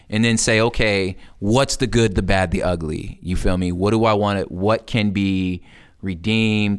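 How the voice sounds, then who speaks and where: Over a silent background in a very clean recording, a man with a Californian accent speaks at a fairly low pitch and very even loudness. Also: fairly even intonation, moderate pace. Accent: Californian American English. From US West Coast, Los Angeles. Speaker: hip hop artist. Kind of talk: interview conversation.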